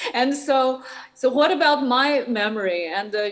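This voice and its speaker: A woman with a Shanghai accent speaks in a high voice at a fairly slow pace. The recording has audible room echo and noticeable background noise. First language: Shanghainese. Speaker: artist and academic. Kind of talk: conference Q&A. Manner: halting, many fillers.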